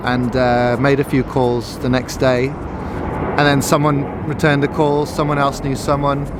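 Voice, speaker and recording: This man has a medium pitch and fairly even intonation. Room echo is audible and background noise is noticeable. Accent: slight English. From Portugal. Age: 30s. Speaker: entrepreneur. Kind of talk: interview.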